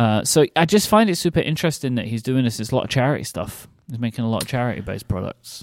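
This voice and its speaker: In a very clean recording with a silent background, a man with a British accent speaks very fast with hardly any pauses, his medium-pitched voice carrying lively intonation. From UK. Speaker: podcast host. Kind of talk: casual chat.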